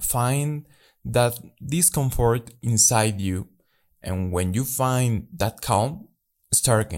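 On a very clean recording with a silent background, a man at a medium pitch speaks very slowly with long, frequent pauses and lively intonation. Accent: Spanish. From Mexico. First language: Spanish. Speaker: life coach podcaster. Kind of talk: motivational monologue.

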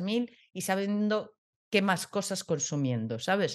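Over a quiet background, a woman speaks at a medium pitch and a moderate pace. Her pitch swings very widely. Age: 30s. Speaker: podcast co-host. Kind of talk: casual chat.

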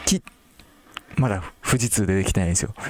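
A man's voice in a dry, close sound with no echo. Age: 30s. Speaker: podcast host selling teacher products. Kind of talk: casual solo talk.

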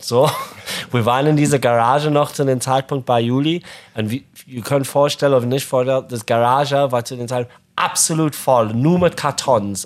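Speaking with an English accent, a man of medium pitch uses ordinary pitch variation and long, frequent pauses. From Zimbabwe (Harare). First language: English (speaking German). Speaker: podcast co-host, fishing company founder. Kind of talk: casual chat. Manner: halting, non-native German.

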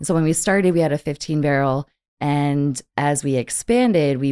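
A woman talks in an animated tone. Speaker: brewery sales manager. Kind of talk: casual chat. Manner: animated, joking.

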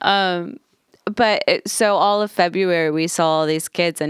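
A woman's ordinary speaking voice, fairly low in pitch, at a moderate pace with ordinary pitch variation and a dry, close sound with no echo. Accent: American. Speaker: podcast co-host. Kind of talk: casual chat.

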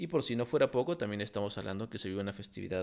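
A man speaks with vocal fry at a fairly low pitch, recorded very cleanly against a silent background. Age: 30s. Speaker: industrial engineer and import business content creator. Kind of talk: solo podcast monologue.

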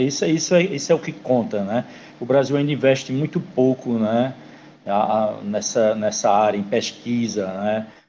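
Here a man talks at a moderate pace and medium pitch. It is an unremarkable speaking voice. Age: 50s. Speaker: podcast host. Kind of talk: casual interview.

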